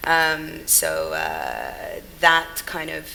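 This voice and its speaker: A woman with a British accent, over noticeable background noise. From England, Sudanese family. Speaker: brand consultant and founder. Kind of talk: panel discussion. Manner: hesitant, many fillers.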